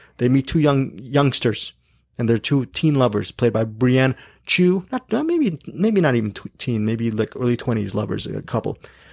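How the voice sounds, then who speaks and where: A man's normal speaking voice at a medium pitch and moderate pace, with ordinary pitch variation and a dry, close sound with no echo. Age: 50s. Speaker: film podcast host. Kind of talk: casual chat.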